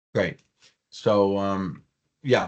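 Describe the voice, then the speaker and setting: A man speaks with a New York accent. His pitch is fairly low. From New York City, Staten Island. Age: 60s. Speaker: professor. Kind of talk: online class introduction. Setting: video call. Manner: halting.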